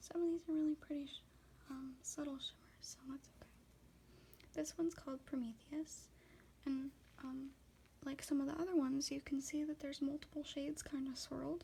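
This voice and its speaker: A woman's high, soft-spoken voice with a dark, mellow tone, fairly quick yet with long, frequent pauses and monotone, flat intonation. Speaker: ASMR content creator. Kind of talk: ASMR makeup swatching video, casual talk to camera.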